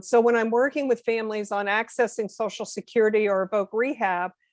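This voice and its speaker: A woman with an ordinary speaking voice talks at a moderate pace with a fairly high pitch and ordinary pitch variation. The sound is dry and close with no echo, over a quiet background. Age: 60s. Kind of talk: podcast interview.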